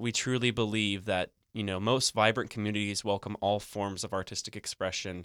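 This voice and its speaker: In a very clean recording with a silent background and a dry, close sound with no echo, a man with a fairly low voice speaks with fairly even intonation in a Midwestern accent. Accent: general American, Midwestern. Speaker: corporate sponsor representative. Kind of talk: radio interview. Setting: studio. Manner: filler-heavy, friendly.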